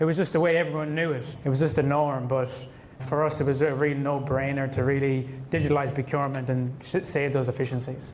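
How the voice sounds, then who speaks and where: A man with an Irish accent talks very fast at a fairly high pitch, his intonation flat and monotone. The room echoes audibly and background noise is noticeable. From Ireland. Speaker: construction contracts manager. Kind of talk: panel interview before live audience.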